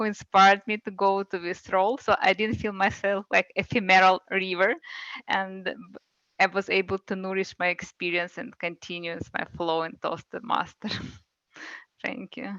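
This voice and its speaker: A woman with a non-native accent speaks at a moderate pace in a medium-pitched, bright, sharp tone with fairly even intonation. The sound is dry and close with no echo, over a quiet background. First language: not English. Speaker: club member, grammarian. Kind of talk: meeting role report. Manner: halting.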